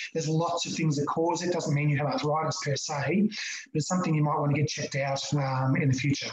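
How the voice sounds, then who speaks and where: Very fast speech in an Australian accent. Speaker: chiropractor. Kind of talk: online talk. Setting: video call.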